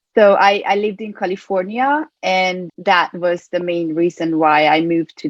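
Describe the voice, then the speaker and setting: Heard in a dry, close sound with no echo, a woman with a Hungarian accent speaks at a fairly low pitch with ordinary pitch variation. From Hungary, Budapest. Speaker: performance coach. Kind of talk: interview.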